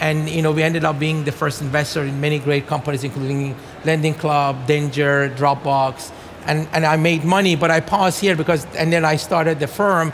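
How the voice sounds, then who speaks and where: Speaking with a Persian accent, a man keeps a fairly quick pace and fairly even intonation in a fairly high voice, with light background noise. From Iran. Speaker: venture capital investor. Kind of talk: onstage interview. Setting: stage with audience. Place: stage.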